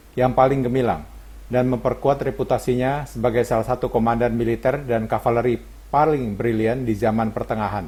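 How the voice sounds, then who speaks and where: Somewhat breathy, a man talks at a fairly quick pace with fairly even intonation. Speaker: voice-over narrator. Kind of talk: scripted narration. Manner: formal.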